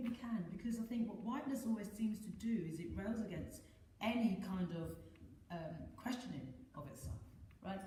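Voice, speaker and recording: A woman with a London accent speaks at a fairly quick pace, her medium pitch carried by lively intonation. Audible room echo and noticeable background noise surround her. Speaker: dancer and choreographer. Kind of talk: panel discussion.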